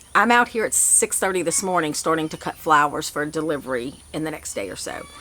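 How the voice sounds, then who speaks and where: Speaking at a fairly quick pace, a woman with a very deep, low pitch talks in a Louisiana accent. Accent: southern US (Louisiana). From south Louisiana. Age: 50s. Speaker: flower farmer. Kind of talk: casual vlog update. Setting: outdoors. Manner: fast.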